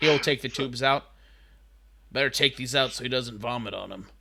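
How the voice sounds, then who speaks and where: In a raspy, put-on character voice, a man talks at a medium pitch and a fairly quick pace with big swings in loudness, on a very clean recording with a silent background. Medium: actual play. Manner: fast, anxious.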